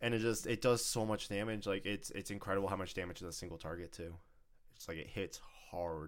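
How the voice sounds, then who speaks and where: A man's fairly low, animated voice at a very fast pace. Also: ordinary pitch variation. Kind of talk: casual chat. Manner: animated, fast talker.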